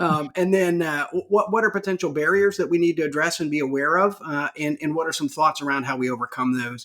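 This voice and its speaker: A man's fairly high, bright and sharp voice at a very fast pace, with ordinary pitch variation and hardly any pauses. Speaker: podcast host, health officer. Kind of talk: casual interview.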